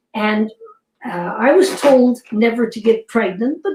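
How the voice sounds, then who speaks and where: The voice has a dark, mellow tone, a somewhat breathy quality and ordinary pitch variation. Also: woman. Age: 80s+. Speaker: fitness programme creator. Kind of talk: interview.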